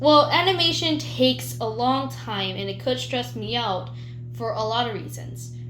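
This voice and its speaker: Over music in the background, a woman speaks at a moderate pace with audible room echo. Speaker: YouTuber. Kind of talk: casual vlog monologue. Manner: stuttering; unscripted, spontaneous.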